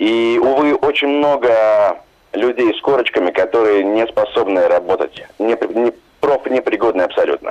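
This man speaks fairly slowly. There is noticeable noise in the background. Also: very even loudness. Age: young. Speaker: translator and dubbing director. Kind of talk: radio interview. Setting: phone call.

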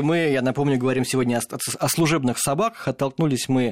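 On a very clean recording with a silent background, an ordinary speaking voice talks rather quickly. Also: man. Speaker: radio host. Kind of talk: radio interview. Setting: radio studio.

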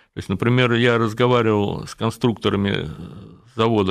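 An ordinary speaking voice from a man, medium in pitch and fairly quick, over a quiet background. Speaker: motorcycle journalist and engineer. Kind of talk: radio interview.

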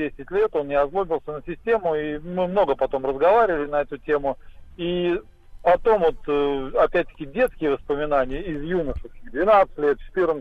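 With a normal speaking voice, this man talks at a moderate pace, his fairly high pitch showing ordinary variation. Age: 50s. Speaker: caller. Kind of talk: phone call story. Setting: phone call.

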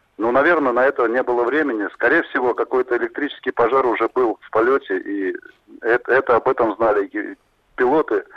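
Big swings in loudness mark this man's fairly quick delivery. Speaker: former airline pilot, flight safety expert. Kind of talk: expert interview. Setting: phone line.

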